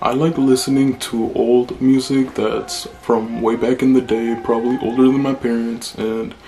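The voice is monotone and flat, moving at a fairly slow pace over music in the background. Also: man. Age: 20s. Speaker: vlogger. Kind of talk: casual talk to camera. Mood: relaxed, chill. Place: home room.

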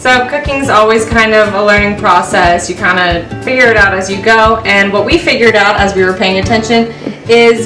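Over clear background music, a woman speaks at a fairly quick pace with ordinary pitch variation. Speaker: cooking instructor. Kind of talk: tutorial. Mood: friendly, upbeat. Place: kitchen.

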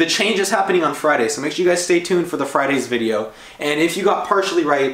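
A man talks at a very fast pace amid audible room echo. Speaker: vlogger. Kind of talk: casual vlog chat. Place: kitchen. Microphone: camera far.

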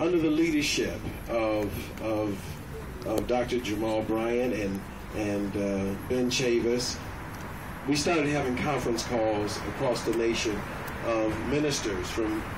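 Against noticeable background noise, a man speaks at a fairly slow pace with long, frequent pauses, very even loudness, and ordinary pitch variation. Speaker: pastor addressing a rally. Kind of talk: rally speech. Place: street. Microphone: camera far.

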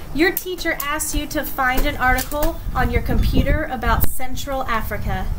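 A woman speaks at a moderate pace with noticeable background noise. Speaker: teacher reading to students. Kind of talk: read-aloud with commentary. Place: garden. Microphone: webcam.

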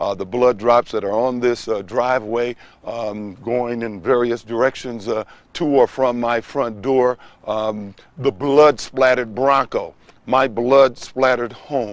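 At a fairly slow pace, a man talks with fairly even intonation, the sound dry with no echo. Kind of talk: scripted presentation to camera. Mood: earnest, persuasive. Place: street.

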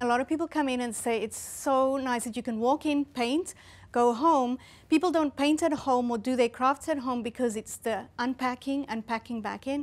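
A woman speaks at a moderate pace with a South African accent. Her pitch is high, and her intonation is fairly even. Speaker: art studio owner and entrepreneur. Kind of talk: interview. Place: studio. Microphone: lapel.

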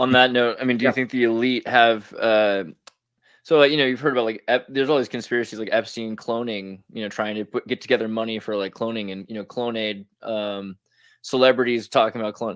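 A man's medium-pitched voice at a fairly quick pace, with fairly even intonation. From California. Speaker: interviewer. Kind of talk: interview. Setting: video call.

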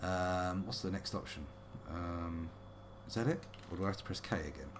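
A man with a British accent speaks in a very deep, low pitch. His pace is moderate, and there is noticeable background noise. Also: ordinary pitch variation. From UK. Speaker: let's play streamer; game streamer. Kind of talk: casual gameplay commentary. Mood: playful, wry.

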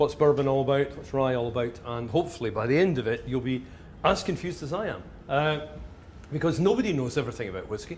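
A man with a Glasgow accent talks very fast at a fairly high pitch, somewhat breathy and with lively intonation. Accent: Scottish (Glasgow). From Glasgow, Scotland. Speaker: whisky writer. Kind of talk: live talk to an audience.

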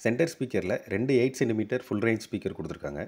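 A man speaks fast with lively intonation. His fairly low voice has a dark, mellow tone.

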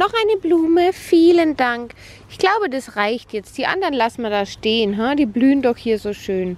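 A woman speaks in a high pitch with very wide pitch swings. Her moderate pace comes through dry, with no echo. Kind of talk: casual vlog chat. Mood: warm, playful. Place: open country. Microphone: phone near.

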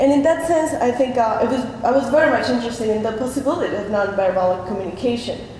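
A high-pitched woman's voice in a Spanish accent, very fast and lively in intonation, with audible room echo and light background noise. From Argentina. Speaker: artist. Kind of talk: artist talk at a panel. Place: hall. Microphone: podium.

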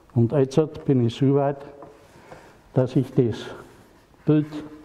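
A man talks with a strong Franconian accent. His intonation is fairly even. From Franconia, Germany. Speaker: porcelain painter. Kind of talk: casual talk at a handover. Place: hall.

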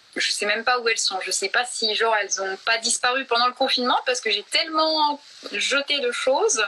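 A high-pitched woman's voice at a fairly quick pace with ordinary pitch variation. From Franche-Comté, France. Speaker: actress and photo model. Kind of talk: casual interview chat. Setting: live stream on Instagram. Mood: relaxed, friendly. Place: home room. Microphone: phone near.

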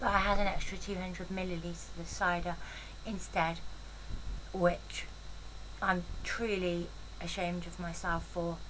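Speaking at a fairly slow pace, a woman keeps a fairly low pitch with little pitch movement.

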